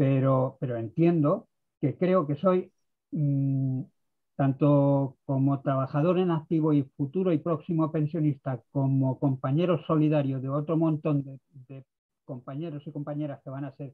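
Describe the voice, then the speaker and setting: A man with a plain, everyday voice, fairly high in pitch, at a fairly slow pace with fairly even intonation and big swings in loudness. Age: 60s. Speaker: participant in pensioner activist meeting. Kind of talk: video conference discussion. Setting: video call.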